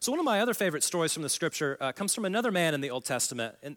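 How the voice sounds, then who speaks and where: The speaker, with an American accent, swings very widely in pitch. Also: man. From Oklahoma, US. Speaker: guest preacher. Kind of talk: sermon. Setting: church service with audience. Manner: casual, conversational.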